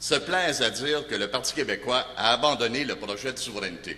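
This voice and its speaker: This man speaks at a medium pitch. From Montreal, Quebec. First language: Italian (speaking French). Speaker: political candidate. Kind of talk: campaign speech.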